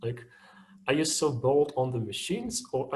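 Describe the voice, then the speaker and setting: A man with a medium pitch and ordinary pitch variation speaks at a moderate pace in a somewhat breathy voice. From Russia. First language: Russian. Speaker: machine learning engineer, webinar speaker. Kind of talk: webinar talk, Q&A discussion. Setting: online webinar. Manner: halting, many repetitions and fillers.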